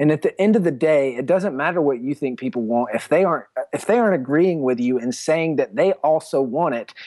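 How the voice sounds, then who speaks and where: A man with an American accent speaks at a fairly quick pace in a fairly high pitch, using ordinary pitch variation and a normal speaking voice, on a very clean recording with a silent background and a dry, close sound with no echo. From US South, South Carolina. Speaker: entrepreneur and author. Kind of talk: interview.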